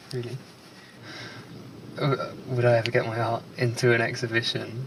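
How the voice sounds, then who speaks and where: A man at medium pitch, with noticeable background noise. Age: 20s. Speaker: documentary subject, painter. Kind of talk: documentary interview. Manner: halting.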